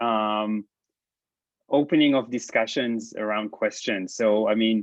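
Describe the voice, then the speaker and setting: A man with an Israeli accent speaks at a moderate pace. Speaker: professor. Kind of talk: lecture. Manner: halting, many fillers.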